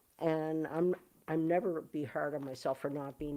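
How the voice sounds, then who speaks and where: A woman with a Canadian accent, a very deep, low pitch, a dark, mellow tone, fairly even intonation and a moderate pace. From Canada. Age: 60s. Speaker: musician. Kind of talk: livestream chat. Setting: live video stream. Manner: halting.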